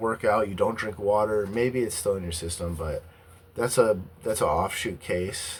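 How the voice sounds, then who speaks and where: A man with a fairly low pitch, at a fairly slow pace. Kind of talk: casual talk to camera.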